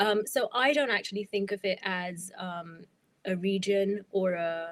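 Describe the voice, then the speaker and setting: On a very clean recording with a silent background, a woman with an Indian accent talks at a fairly slow pace with ordinary pitch variation. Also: medium pitch for a woman. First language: Hindi. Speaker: freelance writer and novelist. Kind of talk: podcast interview.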